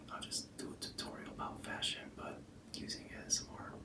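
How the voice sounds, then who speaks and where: A man whispering at a moderate pace. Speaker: men's style YouTuber; presenter. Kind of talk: ASMR tutorial. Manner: casual. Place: home room.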